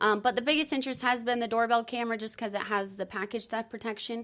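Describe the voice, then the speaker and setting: A woman with a plain, everyday voice, fairly high in pitch, fairly quick in pace and fairly even in intonation, on a very clean recording with a silent background. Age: 30s. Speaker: door-to-door alarm sales rep. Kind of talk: casual interview.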